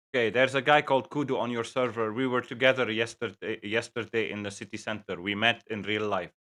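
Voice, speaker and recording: With a Lebanese accent, a man talks very fast with hardly any pauses, his medium-pitched voice bright and sharp in tone and his intonation fairly even. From Lebanon.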